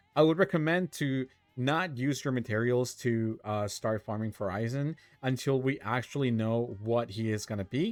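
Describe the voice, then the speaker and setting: A man at a medium pitch, with ordinary pitch variation and a moderate pace, over music in the background. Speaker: gaming YouTuber. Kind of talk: casual gameplay commentary. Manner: halting, stuttering; animated.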